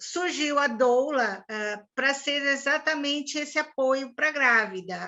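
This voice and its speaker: Against a quiet background, a woman speaks very slowly. Her tone is bright and sharp, her pitch variation ordinary. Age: 60s. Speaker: swimming instructor and doula. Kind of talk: interview.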